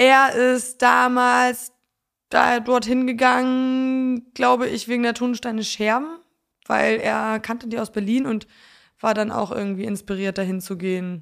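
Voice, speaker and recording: A woman's fairly high voice at a very slow pace, with fairly even intonation, in a very clean recording with a silent background. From Poland and North Frisia, Germany. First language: Polish (speaking German). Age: 20s. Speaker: singer-songwriter. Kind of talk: casual interview.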